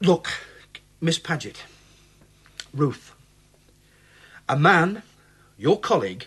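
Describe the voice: In a put-on character voice with a husky, rough edge, the speaker uses a fairly bright tone, big pitch swings and a very slow pace. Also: man, fairly high pitch for a man.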